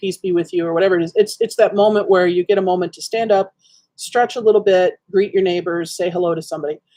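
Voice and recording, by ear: Against a quiet background, the speaker reads aloud in a natural voice, with ordinary pitch variation.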